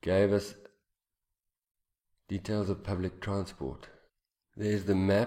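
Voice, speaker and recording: A man with a dark, mellow tone and fairly low pitch talks at a fairly slow pace, his intonation monotone and flat. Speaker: English teacher. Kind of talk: lecture.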